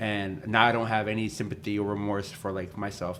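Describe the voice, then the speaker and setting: In a room with audible echo, a man speaks at a fairly quick pace with a fairly low pitch and monotone, flat intonation. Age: 20s. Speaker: professional wrestler and podcast host. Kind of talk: casual chat.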